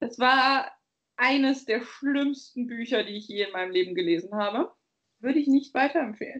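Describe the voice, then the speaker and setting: A woman with a high pitch, a moderate pace and lively intonation. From Bavaria, Germany. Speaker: podcast co-host. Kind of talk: casual chat.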